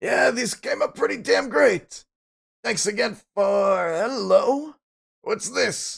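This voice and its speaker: A man speaks in a put-on character voice. His pace is very slow. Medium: game stream. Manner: friendly, fatherly.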